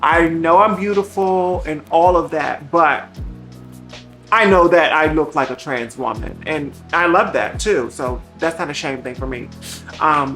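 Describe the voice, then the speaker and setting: Fairly low in pitch, a woman speaks at a fairly slow pace with ordinary pitch variation. Music plays in the background. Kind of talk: casual conversational. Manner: casual, candid, expressive.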